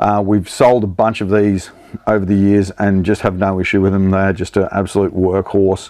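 At a moderate pace, a man talks in a low, dark, mellow voice with little pitch movement.

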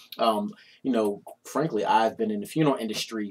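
At a moderate pace, a man is talking. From West Philadelphia; Philadelphia. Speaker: internal auditor, fraternity foundation treasurer; interview guest. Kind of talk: interview. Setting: studio. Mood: relaxed, warm. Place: studio.

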